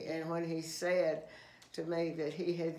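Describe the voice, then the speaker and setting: This woman speaks with a Southern US accent at a very slow pace. Her pitch is fairly low. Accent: Southern American. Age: 80s+. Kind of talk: interview answer. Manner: hesitant, halting.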